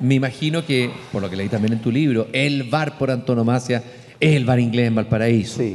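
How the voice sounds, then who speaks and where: A man speaks at a moderate pace with a Chilean accent. His pitch sits in the middle range and varies in an ordinary way. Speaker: columnist and interviewer. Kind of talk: public conversation. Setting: stage with audience.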